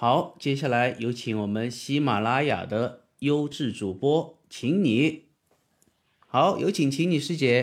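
The speaker goes at a very slow pace, with ordinary pitch variation. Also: man, medium pitch for a man. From southern China. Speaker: podcast host and audiobook narrator, former rock singer. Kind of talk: casual interview. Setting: platform livestream room.

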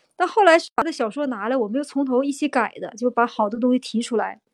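Lively intonation marks this woman's fairly quick speech. The sound is dry and close, with no echo. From Inner Mongolia, Tongliao area. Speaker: picture book author and illustrator. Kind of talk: interview conversation.

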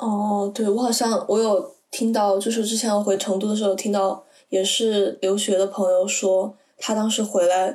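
With hardly any pauses, a woman speaks in a dark, mellow tone, her loudness very even and her intonation monotone and flat. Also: medium pitch for a woman, moderate pace. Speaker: university student abroad. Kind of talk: casual chat.

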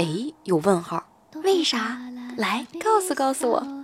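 A woman's voice with very wide pitch swings at a very slow pace, over noticeable background noise. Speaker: podcast host telling jokes. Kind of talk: joke telling, casual monologue. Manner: animated.

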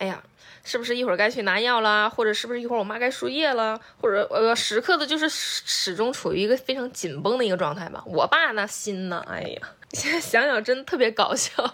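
At a fairly quick pace, a woman sounds animated, her fairly high pitch moving with lively intonation. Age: 30s. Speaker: podcast co-host. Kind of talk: casual chat.

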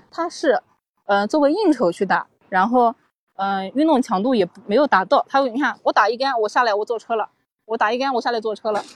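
Talking at a very fast pace, a woman uses lively intonation at a fairly high pitch, her voice dry and close with no echo. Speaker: golf coach. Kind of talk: casual chat. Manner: soft-spoken.

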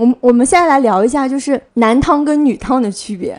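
A woman talks at a fairly quick pace. Her voice is high-pitched. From Jiangsu, China. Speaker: podcast host. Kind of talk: casual chat.

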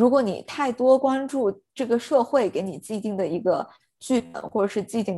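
In a very clean recording with a silent background, a woman uses a dark, mellow tone, a moderate pace and ordinary pitch variation. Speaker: podcast co-host. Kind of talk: casual chat.

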